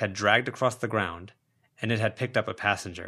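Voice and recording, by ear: Recorded very cleanly against a silent background, a man speaks at a moderate pace with a bright, sharp tone.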